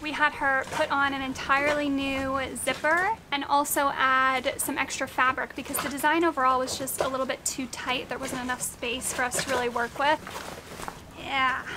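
Over noticeable background noise, a woman speaks in a raised, projected voice at a moderate pace. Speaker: sailing vlogger. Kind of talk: casual vlog chat. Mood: mildly annoyed then pleased. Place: boat. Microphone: phone near.

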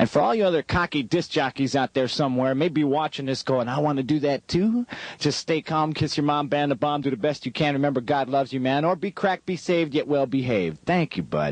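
An American man speaks at a fairly quick pace in an upbeat tone, with hardly any pauses, ordinary pitch variation, and very even loudness against a quiet background. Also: dry sound with no echo. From Denver, United States. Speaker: radio DJ. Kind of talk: radio aircheck, music station DJ patter. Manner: upbeat, jokey, fast-talking. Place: studio. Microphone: studio mic.

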